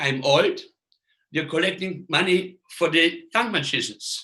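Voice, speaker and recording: A man with a non-native accent speaks in a high pitch with a bright, sharp tone. His pace is moderate and his pitch varies in an ordinary way. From Austria. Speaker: magician. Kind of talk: lecture. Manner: halting.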